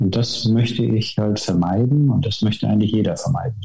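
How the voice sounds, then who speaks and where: Medium in pitch for a man, this unremarkable speaking voice keeps a moderate pace and fairly even intonation. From northern Germany, Wismar (former GDR). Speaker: naturopath and osteopath. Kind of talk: podcast interview.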